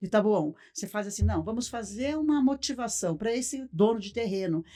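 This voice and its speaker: A woman's dark, mellow voice sits at a medium pitch, with lively intonation and a moderate pace. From Brazil, Paraná (Cascavel). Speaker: circus owner. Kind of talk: podcast interview. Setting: studio.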